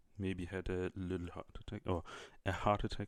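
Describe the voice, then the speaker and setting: A man's very deep, low voice at a moderate pace. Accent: German. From Germany. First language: German. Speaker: YouTuber. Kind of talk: casual chat. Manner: halting.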